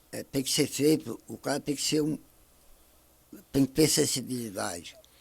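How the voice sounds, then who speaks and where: At a moderate pace, a man speaks with vocal fry, ordinary pitch variation and big swings in loudness. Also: fairly high pitch for a man. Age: 60s. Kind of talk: podcast interview. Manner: halting.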